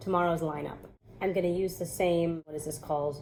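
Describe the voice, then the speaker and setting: Intonation stays fairly even. A woman talks at a very fast pace. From New York. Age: 30s. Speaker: natural hair vlogger. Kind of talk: casual talk to camera.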